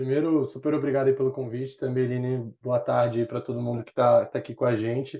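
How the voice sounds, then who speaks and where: Fairly high in pitch, this man's voice has a dark, mellow tone. His intonation stays fairly even. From Rio de Janeiro, Brazil, raised partly in São Paulo. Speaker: startup executive, former investment banker. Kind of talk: casual interview chat. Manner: hesitant, repeats words.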